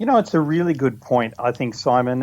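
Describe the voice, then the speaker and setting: The speaker has a New Zealand accent, and the recording is very clean with a silent background. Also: man. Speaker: business speaker, mastermind organiser. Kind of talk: radio interview.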